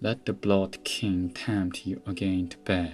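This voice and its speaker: With music in the background, a man speaks at a very slow pace in a very deep, low pitch. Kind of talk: ASMR book reading.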